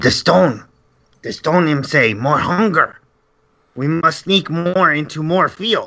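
A man uses a put-on character voice, fairly high in pitch. He speaks at a fairly slow pace. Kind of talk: broken pidgin speech.

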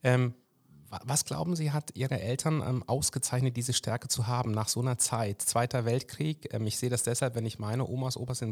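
Fairly even in intonation, the speech runs very fast on a very clean recording with a silent background. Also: man. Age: 40s. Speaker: podcast host. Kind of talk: interview. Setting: party district office.

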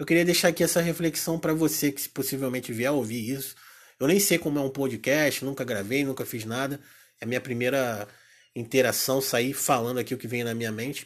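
Delivered at a fairly quick pace with ordinary pitch variation, the speech sits on a very clean recording with a silent background. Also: man, medium pitch for a man. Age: 30s. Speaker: podcaster. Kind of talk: solo reflective monologue. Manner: hesitant, with filler sounds.

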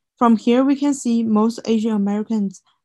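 A woman speaks in a dark, mellow tone that is somewhat breathy. The recording is very clean, with a silent background. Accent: Chinese. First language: Chinese. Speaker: student podcast co-host. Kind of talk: scripted student podcast presentation.

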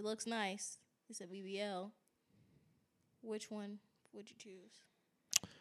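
A soft-spoken woman talks very slowly at a medium pitch, her intonation monotone and flat, with long, frequent pauses and big swings in loudness. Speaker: podcast host. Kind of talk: casual chat.

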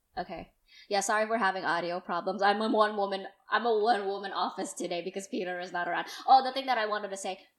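A woman with a medium pitch speaks at a very fast pace. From South Jakarta, Indonesia. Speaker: podcast host. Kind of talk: casual chat. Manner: animated.

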